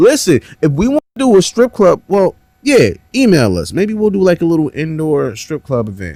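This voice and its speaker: A man speaks at a moderate pace in a dark, mellow tone with very wide pitch swings. The sound is dry and close, with no echo. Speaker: podcast host, studio engineer. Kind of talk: casual chat. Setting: studio.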